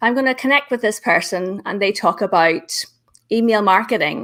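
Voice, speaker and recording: On a very clean recording with a silent background, a woman with a Northern Irish accent talks at a fairly high pitch and a moderate pace, her intonation lively. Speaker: LinkedIn business trainer. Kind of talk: interview on live show. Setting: live video stream.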